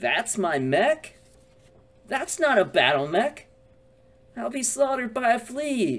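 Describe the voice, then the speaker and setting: A man's cartoonish character voice, extremely high in pitch with very wide pitch swings, fairly slow, broken by long, frequent pauses. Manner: exasperated, doom-laden.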